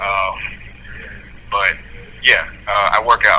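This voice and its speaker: A man speaks over noticeable background noise. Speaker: prisoner. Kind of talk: conversation over phone or video call.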